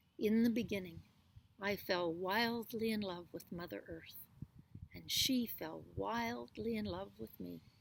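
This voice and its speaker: A woman's rumbling, put-on character voice at medium pitch and a fairly slow pace. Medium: read story.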